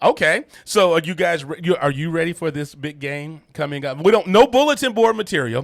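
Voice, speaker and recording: A man talks at a fairly quick pace. His high pitch shows ordinary variation. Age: 50s. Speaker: sports radio host and coach. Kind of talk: radio interview. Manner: energetic.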